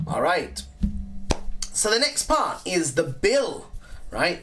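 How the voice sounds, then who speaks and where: Very slow delivery in an English accent. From England. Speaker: English teacher. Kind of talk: online lesson. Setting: live stream. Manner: animated.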